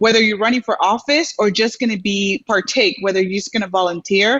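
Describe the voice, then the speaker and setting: A woman speaks with a Dominican accent and ordinary pitch variation. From Dominican Republic, moved to Houston at seven. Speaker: community leader, program alumna. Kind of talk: interview on a live show. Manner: halting, many fillers.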